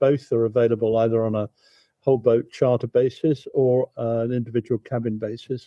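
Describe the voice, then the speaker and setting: A man with a southern English accent at a moderate pace. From southern England, Thames near Windsor. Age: 70s. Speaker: barge travel company founder. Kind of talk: interview. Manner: halting, repeats words.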